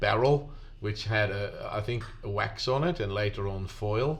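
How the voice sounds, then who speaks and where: Somewhat breathy speech comes at a fairly slow pace, with audible room echo. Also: man. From Netherlands. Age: 60s. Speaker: sound engineer. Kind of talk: casual interview. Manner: hesitant, repeats words.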